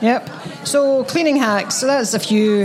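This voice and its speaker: Amid noticeable background noise, a woman with a Scottish accent talks at a moderate pace with ordinary pitch variation. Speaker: podcast co-host. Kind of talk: casual chat.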